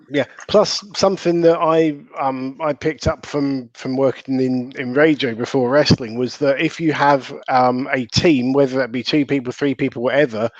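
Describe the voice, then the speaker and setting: Over noticeable background noise, a man with a Southern English accent talks at a moderate pace. His voice is fairly high, with fairly even intonation. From southern England. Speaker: wrestling commentator. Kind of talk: casual chat.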